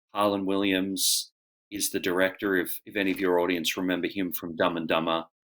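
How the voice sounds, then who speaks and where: A man at a fairly quick pace with a very deep, low pitch and monotone, flat intonation. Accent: Australian. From Australia. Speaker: actor and auctioneer. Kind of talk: interview answer. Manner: casual, conversational.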